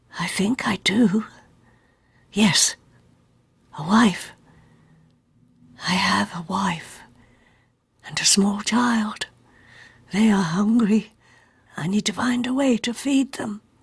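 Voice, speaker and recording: A put-on character voice, female-sounding, whispering and mumbling at a fairly slow pace with long, frequent pauses. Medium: read story. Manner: mumbling, whispering.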